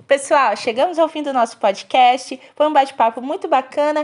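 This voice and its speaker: Lively intonation and a high pitch mark this woman's speech, delivered at a moderate pace. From Brazil, Espírito Santo (rural). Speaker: podcast host, education student. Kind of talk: scripted podcast interview. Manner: formal.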